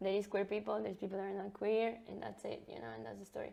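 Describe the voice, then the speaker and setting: Speaking at a very fast pace, a woman rattles through her words. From Brazil / Ecuador. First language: Portuguese or Spanish. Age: 20s. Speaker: interviewee. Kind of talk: casual chat.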